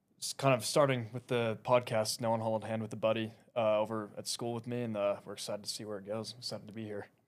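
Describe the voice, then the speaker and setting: A man with an American accent at a very fast pace, hardly any pauses, monotone, flat intonation and big swings in loudness. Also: medium pitch for a man. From Texas, Dallas. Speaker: podcast guest, university student. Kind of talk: casual chat.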